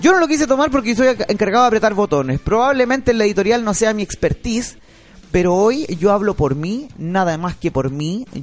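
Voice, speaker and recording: A man with a Chilean accent, high in pitch, at a fairly quick pace and with very wide pitch swings. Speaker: radio co-host and board operator. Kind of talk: talk radio debate.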